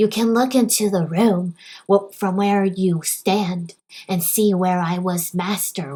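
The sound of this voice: The voice reads in an unforced way. That manner holds from start to finish.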